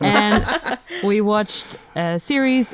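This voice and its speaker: A woman speaks with a Dutch accent over noticeable background noise. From Netherlands. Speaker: plant content creator. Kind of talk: casual chat.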